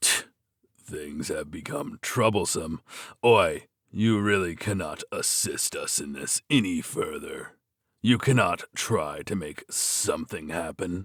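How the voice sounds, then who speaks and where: A man puts on a raspy character voice at a fairly low pitch and fairly slow pace, in a very clean recording with a silent background. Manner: impatient.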